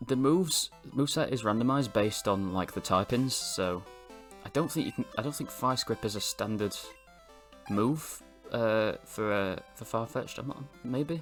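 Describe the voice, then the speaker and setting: Over music in the background, a man talks at a fairly slow pace with lively intonation and long, frequent pauses. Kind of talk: gameplay commentary. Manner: hesitant, filler-heavy.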